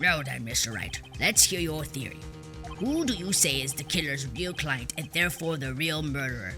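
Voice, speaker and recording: A put-on character voice sits at a low-to-middle pitch and moves at a moderate pace. Clear music plays in the background. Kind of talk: courtroom speech. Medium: machinima.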